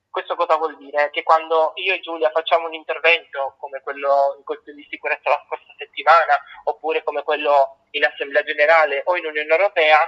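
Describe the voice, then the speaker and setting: Fairly quick and monotone, a man's fairly high voice holds a flat intonation. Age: 20s. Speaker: youth delegate to the United Nations. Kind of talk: interview.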